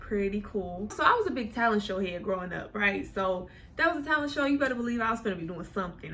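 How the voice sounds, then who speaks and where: A woman with an American accent speaks very fast at a medium pitch with ordinary pitch variation, amid noticeable background noise and audible room echo. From Oklahoma City, Oklahoma. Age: 20s. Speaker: YouTuber. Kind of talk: casual storytime monologue. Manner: animated, conversational.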